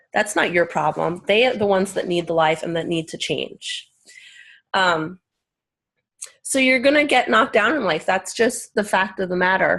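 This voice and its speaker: In a very clean recording with a silent background, a woman with an unremarkable speaking voice talks at a moderate pace and medium pitch, her intonation lively. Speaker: team leader on a business call. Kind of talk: motivational team call.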